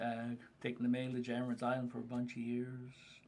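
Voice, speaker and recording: Over noticeable background noise, a man with a medium-pitched voice talks at a moderate pace in a flat monotone. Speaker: freight business owner. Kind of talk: casual chat. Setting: group conversation over lunch.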